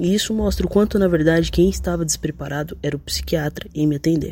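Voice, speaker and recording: A man's somewhat breathy voice with a dark, mellow tone and fairly even intonation. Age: 20s. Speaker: listener sending voice message. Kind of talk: recorded voice message.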